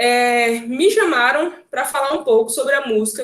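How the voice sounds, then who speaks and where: A woman speaks at a high pitch, her voice making very wide pitch swings. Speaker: occupational therapist and music therapist. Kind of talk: online talk. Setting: video call. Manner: fast.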